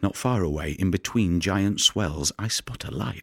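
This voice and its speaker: A man with a very deep, low pitch talks in an intense tone at a fairly slow pace, with ordinary pitch variation. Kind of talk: audio drama performance, dramatic monologue. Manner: gravelly, brooding, intense, with vivid poetic delivery.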